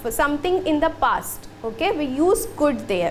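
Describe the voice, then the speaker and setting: A woman's voice comes through with audible room echo and noticeable background noise. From India. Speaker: school teacher. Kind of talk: lecture.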